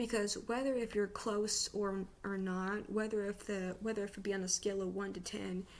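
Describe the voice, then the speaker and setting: The speech runs at a moderate pace with hardly any pauses and monotone, flat intonation over noticeable background noise. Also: woman, medium pitch for a woman. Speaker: vlogger. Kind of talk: casual advice monologue. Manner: halting, stuttering; unscripted.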